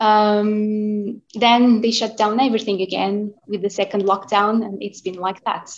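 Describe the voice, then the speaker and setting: A woman's fairly high voice in a Portuguese accent, monotone and flat, at a fairly slow pace with hardly any pauses. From Portugal, Porto. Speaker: classical singer. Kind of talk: interview. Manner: halting.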